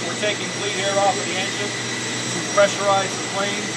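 A man's voice under loud background noise. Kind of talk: tour explanation. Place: hall. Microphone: phone near.

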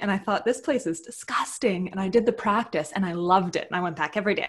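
A woman talks with lively intonation and a somewhat breathy quality. The background is quiet. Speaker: podcast guest. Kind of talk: interview answer. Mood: warm, cheerful. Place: home room. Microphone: earbuds.

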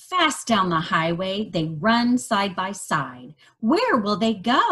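Natural voice for reading aloud

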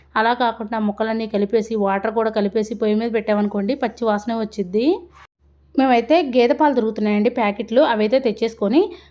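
A woman speaks at a fairly high pitch in a dark, mellow tone with fairly even intonation. The recording is very clean, with a silent background. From Andhra Pradesh. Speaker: homemaker vlogger. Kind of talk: vlog voice-over.

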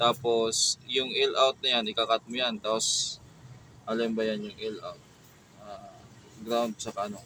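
Fairly slow delivery, big swings in loudness, and noticeable background noise. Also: man. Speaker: DIY electronics YouTuber. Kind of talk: tutorial. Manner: slightly slurred speech; casual, hesitant.

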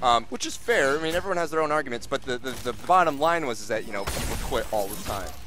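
A man talks very fast with lively intonation over noticeable background noise. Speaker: guest commentator, fighting game player. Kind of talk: casual live game commentary.

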